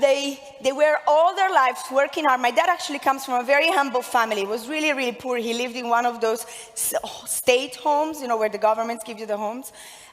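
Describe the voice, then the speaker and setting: Over noticeable background noise, a high-pitched woman with an Italian accent talks at a very fast pace in an energetic tone with ordinary pitch variation. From Italy (Milan). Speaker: network marketing entrepreneur. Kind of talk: motivational speech. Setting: stage with audience.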